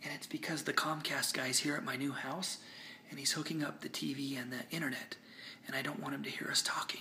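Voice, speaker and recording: In a put-on character voice, the speaker whispers raspily at a fairly quick pace. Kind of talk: casual vlog chat. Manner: whispering.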